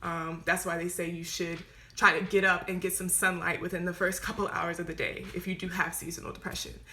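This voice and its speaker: A woman speaks at a fairly quick pace in a fairly low pitch. Noticeable background noise sits behind her. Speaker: mental health talk host. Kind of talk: live stream chat. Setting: live video stream. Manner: fast; animated.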